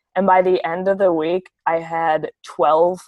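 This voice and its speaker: The voice has an Upper Midwest US accent and monotone, flat intonation. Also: woman. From US Midwest. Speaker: university student. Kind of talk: casual interview.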